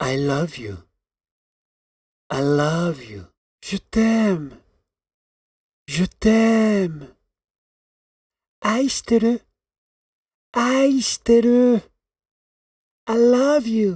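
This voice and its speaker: Pitched high for a man, this speaker talks at a very slow pace with long, frequent pauses, very wide pitch swings and big swings in loudness, the sound dry and close with no echo. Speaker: sound effects voice recording. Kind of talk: recorded voice samples. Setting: recording studio.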